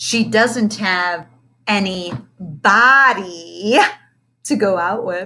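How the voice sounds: A woman uses a put-on character voice at a very slow pace. Her tone is bright and sharp, at medium pitch with ordinary pitch variation.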